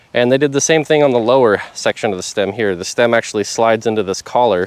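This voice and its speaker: Speaking at a very fast pace with ordinary pitch variation, a man is recorded with a dry, close sound and no echo, though background noise is noticeable. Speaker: electric scooter reviewer. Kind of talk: product review vlog. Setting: outdoors by a road. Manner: casual, conversational.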